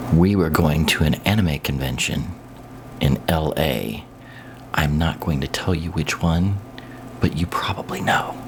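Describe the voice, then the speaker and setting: Quiet and fairly slow with long, frequent pauses, a man with an American accent talks in a very deep, low pitch over noticeable background noise. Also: ordinary pitch variation. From US Midwest, Kansas City. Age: old. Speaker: YouTuber. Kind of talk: casual monologue. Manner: quiet, hushed.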